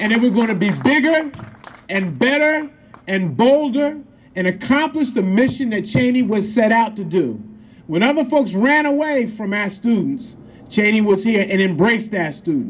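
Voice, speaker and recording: A man with a high voice speaks at a moderate pace, his intonation lively. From Pennsylvania, USA. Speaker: state senator. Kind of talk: ceremony speech. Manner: rousing, emphatic. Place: street. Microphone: camera far.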